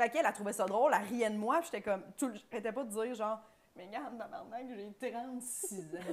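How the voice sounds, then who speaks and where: Speaking at a fairly quick pace with a Quebec accent, a woman with a fairly high pitch swings widely in loudness over light background noise. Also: ordinary pitch variation. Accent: Québécois French. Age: 30s. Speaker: podcast co-host, comedian; podcast guest. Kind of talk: casual chat. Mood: animated, joking storytelling. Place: studio. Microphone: lapel.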